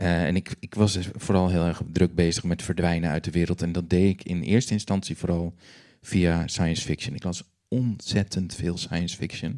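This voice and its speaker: Fairly even intonation in a very deep, low male voice of dark, mellow tone. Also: quiet background. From Netherlands, Groningen countryside. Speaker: novelist and musician; guest. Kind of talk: interview on stage. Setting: library stage with audience. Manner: hesitant with many fillers. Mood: calm, reflective. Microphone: handheld.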